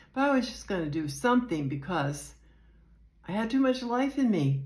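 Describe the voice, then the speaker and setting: Somewhat breathy, a woman with an American accent and medium pitch speaks at a moderate pace with very wide pitch swings, in a very clean recording with a silent background. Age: 70s. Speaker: retiree vlogger. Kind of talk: casual personal vlog. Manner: hesitant, unpolished.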